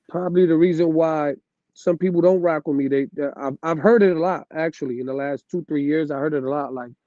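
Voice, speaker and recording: A man with a fairly high, dark, mellow voice speaks at a fairly quick pace with fairly even intonation, in a dry, close sound with no echo. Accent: New York. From New York City. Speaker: DJ. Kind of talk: casual chat. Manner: loud.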